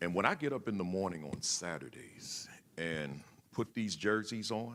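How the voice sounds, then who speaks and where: Loud and bright with a sharp tone, a man speaks with vocal fry. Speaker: school principal, keynote speaker. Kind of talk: keynote speech. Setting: conference hall with audience, on the floor. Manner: halting, repeats words.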